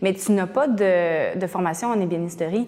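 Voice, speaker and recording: A woman's voice with a dark, mellow tone carries fairly even intonation. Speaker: interviewer. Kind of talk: interview.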